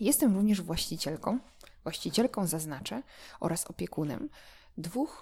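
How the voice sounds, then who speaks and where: A woman talks at a moderate pace with a medium pitch. Her somewhat breathy voice makes very wide pitch swings. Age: 20s. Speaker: dog trainer and podcaster. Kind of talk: solo monologue podcast. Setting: at home. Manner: hesitant, with repeated words.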